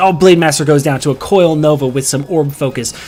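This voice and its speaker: A man talks very fast while noticeable background noise fills the recording. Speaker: game commentator. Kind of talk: esports play-by-play commentary.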